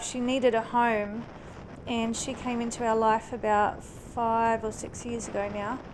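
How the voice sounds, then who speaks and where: A woman talks at a fairly slow pace in a fairly high pitch. Her intonation is monotone and flat, with noticeable background noise. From New Zealand. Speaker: motorcycle vlogger. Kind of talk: casual motovlog talk to camera. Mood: warm, personal storytelling. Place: motorbike. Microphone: helmet.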